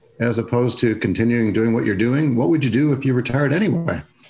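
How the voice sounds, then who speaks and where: A man with an unremarkable speaking voice, a medium pitch and lively intonation. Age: 60s. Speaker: interviewer. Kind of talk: interview.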